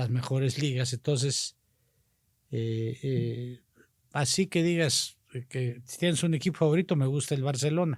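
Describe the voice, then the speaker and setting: Somewhat breathy and medium in pitch, a man talks at a fairly slow pace with ordinary pitch variation and long, frequent pauses. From Mexico, Tampico, Tamaulipas. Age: 60s. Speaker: politician. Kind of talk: casual interview chat.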